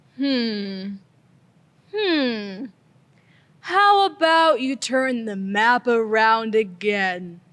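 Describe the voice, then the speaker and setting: In a put-on character voice, a female-sounding voice with fairly high pitch moves at a very slow pace, broken by long, frequent pauses. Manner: slow, drowsy.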